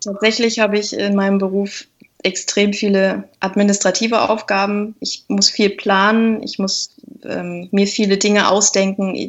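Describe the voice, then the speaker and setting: A woman's medium-pitched, monotone voice with flat intonation at a fairly slow pace. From Lüneburg Heath, northern Germany. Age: 30s. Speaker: organist and YouTuber. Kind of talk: interview.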